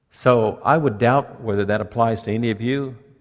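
A man's fairly low-pitched, plain, everyday voice at a moderate pace, with ordinary pitch variation. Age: 60s. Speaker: pastor. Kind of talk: sermon. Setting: church.

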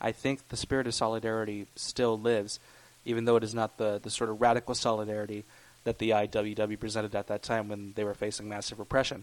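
A man with an American accent at a very fast pace, monotone, flat intonation throughout. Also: fairly low pitch for a man. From US South, Alabama. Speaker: musician and painter, student. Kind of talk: interview. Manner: halting.

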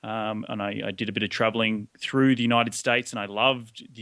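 A man with an Australian accent speaks fairly quickly in a monotone, flat intonation. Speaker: real estate investor. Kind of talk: interview.

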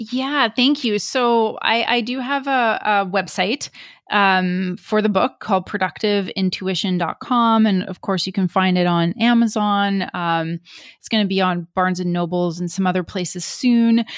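Speaking fairly slowly, a woman uses an ordinary speaking voice at a medium pitch with ordinary pitch variation. The recording is very clean, with a silent background. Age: 40s. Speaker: author and speaker. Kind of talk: interview.

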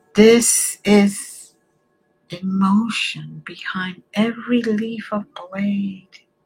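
With music in the background, a woman talks very slowly in a soothing, calm tone with fairly even intonation. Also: medium pitch for a woman. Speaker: reiki healer. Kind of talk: guided meditation. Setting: online stream. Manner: slow, soothing, calm; soft-spoken, gentle.

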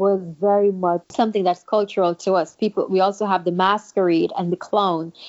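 A woman is speaking. She has a Kittitian accent. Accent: Kittitian Caribbean English. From St. Kitts. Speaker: guest. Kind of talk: casual interview conversation.

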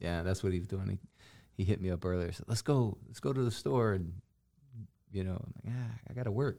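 Speaking at a fairly quick pace yet with long, frequent pauses, a man uses a dark, mellow tone at fairly low pitch and ordinary pitch variation, on a very clean recording with a silent background. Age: 40s. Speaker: pastor and podcast host. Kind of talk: casual chat.

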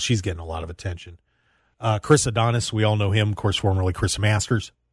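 In an ordinary speaking voice with an American accent, a man talks at a fairly low pitch against a quiet background. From US Northeast (Pennsylvania). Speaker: radio host. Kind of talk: casual banter radio show chat. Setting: radio studio.

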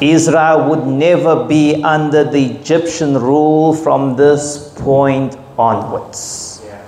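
Amid noticeable background noise, a man with a fairly high pitch speaks at a very slow pace with monotone, flat intonation, very even loudness and hardly any pauses. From South Africa, KwaZulu-Natal. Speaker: pastor. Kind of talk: sermon. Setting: church.

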